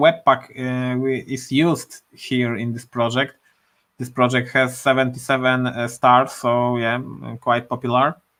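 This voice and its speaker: A bright, sharp tone in a Polish accent at a fairly slow pace. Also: man. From Poland. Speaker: programmer live streamer. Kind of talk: live coding stream. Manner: halting, many fillers.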